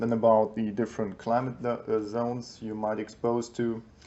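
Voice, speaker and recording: At a fairly slow pace, a man with a German accent speaks at medium pitch. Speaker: YouTuber reviewing survival books. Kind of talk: book review. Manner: hesitant, many fillers.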